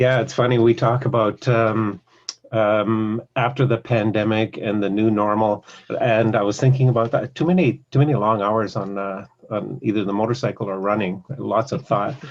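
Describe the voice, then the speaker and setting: A man's medium pitch with ordinary pitch variation, at a moderate pace. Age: 60s. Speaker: podcast interviewer. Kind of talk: casual interview conversation. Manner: halting, many fillers.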